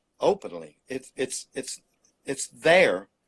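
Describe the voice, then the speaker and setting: Vocal fry marks a man's medium-pitched voice at a very slow pace. The sound is dry and close, without echo. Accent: Mississippi. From US South, Mississippi Delta. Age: 70s. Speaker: painter. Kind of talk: interview.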